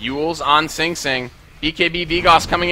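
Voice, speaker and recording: A man amid noticeable background noise. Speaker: esports caster. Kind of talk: live commentary. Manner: fast.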